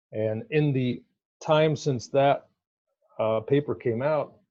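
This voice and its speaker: Somewhat breathy and dark, mellow in tone, a man talks at a fairly slow pace with fairly even intonation. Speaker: academic researcher. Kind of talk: conference presentation. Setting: virtual conference talk.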